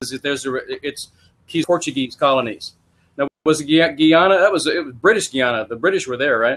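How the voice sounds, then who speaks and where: Fairly quick speech from a man in a Texan accent, fairly high pitch, ordinary pitch variation and big swings in loudness. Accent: Texan American. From Texas. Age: 70s. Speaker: podcast host and MLM writer. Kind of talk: interview.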